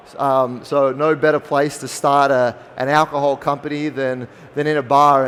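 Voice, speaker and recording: This man has an Australian accent and a fairly high pitch. His intonation is monotone and flat. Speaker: spirits company founder. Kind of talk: conference talk.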